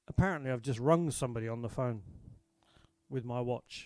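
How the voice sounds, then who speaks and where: A man talks at a fairly quick pace with an English accent. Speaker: country folk singer-songwriter. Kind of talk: live stream chat. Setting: online live stream. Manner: casual.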